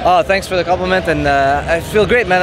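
With clear music in the background and a dry sound with no echo, a man speaks at a very fast pace and a high pitch. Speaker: interviewee. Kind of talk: interview answer. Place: hall. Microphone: handheld.

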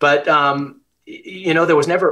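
A man with an American accent speaks in a bright, sharp tone. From US West. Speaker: business executive. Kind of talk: interview. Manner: frequent filler words. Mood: warm, friendly. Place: home room. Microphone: video call.

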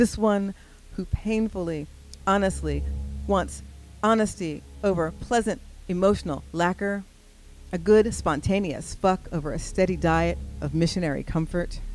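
With music in the background, a woman talks at a moderate pace, leaving long, frequent pauses. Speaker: spoken word poet. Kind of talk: spoken word poetry performance. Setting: live stage.

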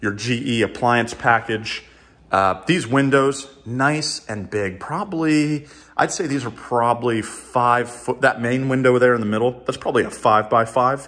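This is a man's voice. His pitch varies in an ordinary way. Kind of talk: home tour commentary. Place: home room. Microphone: phone near.

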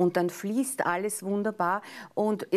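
A woman with a Viennese accent speaks at a medium pitch and moderate pace. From Austria, Vienna. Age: middle-aged. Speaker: astrologer; life coach guest on TV show. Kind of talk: casual chat; daily forecast. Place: studio.

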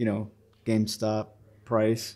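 This is a man talking. He goes at a fairly slow pace. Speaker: toy reviewer. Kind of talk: casual review chat. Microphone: phone near.

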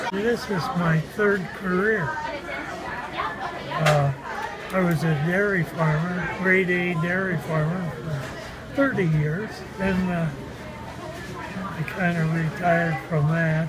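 Amid loud background noise, a man speaks with long, frequent pauses. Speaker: restaurant worker, former dairy farmer. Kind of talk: interview answer. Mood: warm, fond. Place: cafe.

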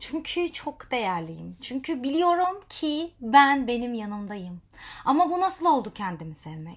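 On a very clean recording with a silent background, a woman speaks fairly slowly at a high pitch, with very wide pitch swings and big swings in loudness. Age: 30s. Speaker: life coach and social media vlogger. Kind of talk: motivational monologue to camera.

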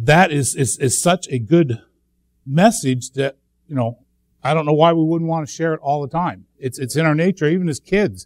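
A man speaks at a moderate pace with ordinary pitch variation. The sound is dry with no echo and a quiet background. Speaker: speaker. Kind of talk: sermon. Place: church.

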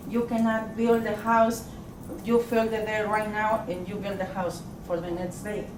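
Over noticeable background noise and audible room echo, a woman with a fairly high pitch speaks in a monotone, flat way at a moderate pace. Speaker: resident speaking at a city council meeting. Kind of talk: public comment. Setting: city council meeting at city hall. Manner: halting.

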